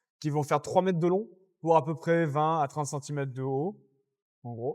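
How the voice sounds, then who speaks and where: A man speaks at a moderate pace in a fairly high voice with ordinary pitch variation, an unremarkable speaking voice. The recording is very clean, with a silent background. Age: 20s. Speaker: underwater hockey athlete. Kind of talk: podcast interview.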